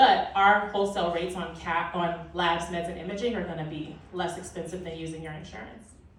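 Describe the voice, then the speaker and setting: A woman with an American accent speaks at a fairly quick pace with hardly any pauses, her fairly low pitch held in fairly even intonation. Noticeable background noise runs behind her. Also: big swings in loudness. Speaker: physician speaking at a conference. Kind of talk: conference talk Q&A. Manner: loud.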